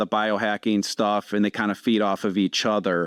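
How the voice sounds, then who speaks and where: The man's voice sits at a medium pitch, moving at a fairly quick pace, with a dry, close sound with no echo and a quiet background. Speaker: podcast host, firefighter. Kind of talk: podcast interview.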